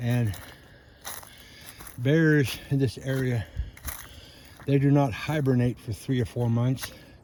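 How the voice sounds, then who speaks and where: A man with an American accent at a very slow pace, with long, frequent pauses, a medium pitch, fairly even intonation, and noticeable background noise. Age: 70s. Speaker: hiking vlogger. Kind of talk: casual narration while hiking. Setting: outdoors on a trail.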